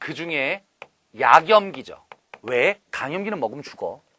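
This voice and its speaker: This man's voice sits fairly high, bright and sharp, with vocal fry and very wide pitch swings. His tone is animated and his pace moderate. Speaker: chemistry instructor. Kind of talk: lecture.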